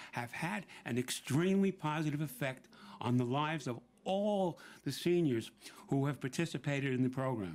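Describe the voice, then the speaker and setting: Speaking with a New York accent, a man with a fairly high voice uses lively intonation at a moderate pace. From New York City, Brooklyn. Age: 70s. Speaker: senior center member and volunteer. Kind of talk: prepared speech at a public event. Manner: some stammering and repeated words.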